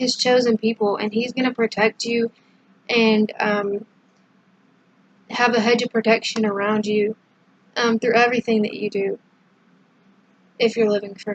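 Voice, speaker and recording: A woman with a fairly high pitch speaks at a moderate pace in a monotone, flat intonation, her loudness swinging widely and her speech broken by long, frequent pauses, all in a dry, close sound with no echo. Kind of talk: devotional talk to camera. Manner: casual with many fillers.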